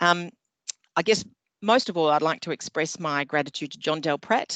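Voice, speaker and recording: Someone with an Australian accent speaks at a moderate pace with ordinary pitch variation. The sound is dry and close, with no echo. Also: woman, very deep, low pitch for a woman. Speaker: community group president. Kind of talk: speech of thanks. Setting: video call.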